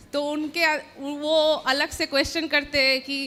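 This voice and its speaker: A woman's high, bright, sharp voice, raised and projected, in a flat monotone. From West Bengal, India. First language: Bengali (speaking Hindi). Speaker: audience member asking a question. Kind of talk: question to a guru.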